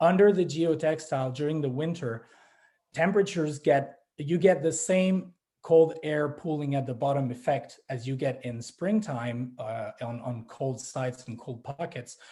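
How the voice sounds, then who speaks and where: Speaking in a Quebec French accent, a man has a fairly high pitch with ordinary variation, a dark, mellow, somewhat breathy tone and a moderate pace. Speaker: grape grower. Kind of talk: panel presentation. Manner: halting, many fillers and restarts.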